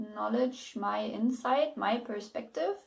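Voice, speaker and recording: The speaker is a woman. She talks with a German accent. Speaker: book reviewer and writing advice youtuber. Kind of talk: casual video blog. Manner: halting, many repetitions and fillers.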